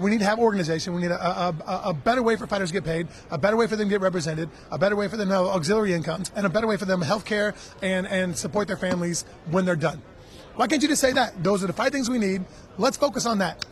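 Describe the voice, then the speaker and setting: Very fast, animated speech from a man at high pitch, over noticeable background noise. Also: ordinary pitch variation. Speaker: MMA fighter. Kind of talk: casual interview. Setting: radio row at a live event.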